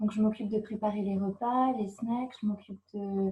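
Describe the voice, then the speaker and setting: Somewhat breathy and at a medium pitch, a woman talks at a fairly slow pace in a monotone, flat intonation. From France, Brittany (Brest). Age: 20s. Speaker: au pair. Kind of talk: interview. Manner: hesitant, many fillers.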